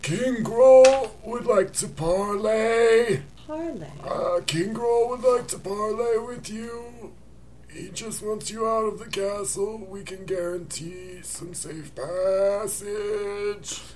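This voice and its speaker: A man's put-on character voice, high-pitched and very slow, over clear background noise. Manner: parleying, coaxing.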